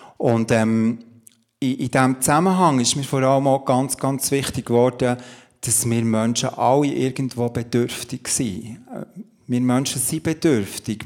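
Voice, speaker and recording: A man with an unremarkable speaking voice, a medium pitch and a fairly slow pace. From Switzerland, Emmental (Bern). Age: 50s. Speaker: pastor and coach. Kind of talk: testimony in a church talk interview. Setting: church service with audience.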